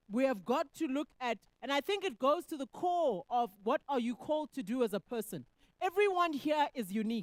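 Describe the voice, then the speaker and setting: Loud and high-pitched, a woman speaks at a moderate pace with very wide pitch swings, and the sound is dry and close with no echo. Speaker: economist. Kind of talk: panel discussion answer.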